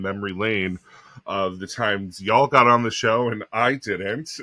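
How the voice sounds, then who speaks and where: A man with an American accent speaks at a moderate pace and a fairly low pitch. His tone is bright and sharp, with fairly even intonation. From US Northeast, Long Island, New York. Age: 30s. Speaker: drag queen podcast co-host. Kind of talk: casual chat.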